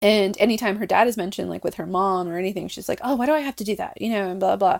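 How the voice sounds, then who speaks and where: This woman talks at a very fast pace with an American accent. The recording is very clean, with a silent background. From US, Mexican American family. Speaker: podcast co-host. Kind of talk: casual chat.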